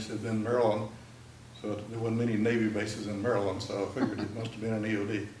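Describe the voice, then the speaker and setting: A man with a Texan accent and a fairly low pitch talks at a very fast pace in a monotone, flat intonation. Audible room echo and noticeable background noise are present. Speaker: military veteran. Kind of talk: talk to an audience.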